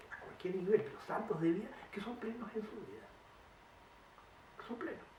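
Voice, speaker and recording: Lively intonation marks a man's speech, heard over noticeable background noise. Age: 80s+. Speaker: painter. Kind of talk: interview answer.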